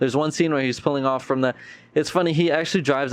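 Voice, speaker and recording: The man speaks at a medium pitch. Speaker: podcast host. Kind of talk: casual chat. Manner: fast.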